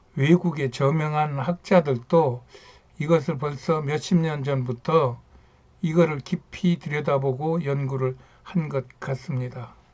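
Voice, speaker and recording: Speaking very slowly, a man uses a fairly high voice. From rural Korea. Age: 70s. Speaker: YouTuber, retired engineer. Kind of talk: casual talk on history and culture. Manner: halting, many fillers.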